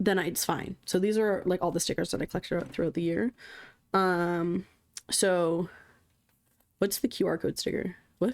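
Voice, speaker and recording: Against a silent background in a very clean recording, a woman speaks at medium pitch and a moderate pace with ordinary pitch variation and long, frequent pauses. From Canada. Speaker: streamer. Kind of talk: casual chat.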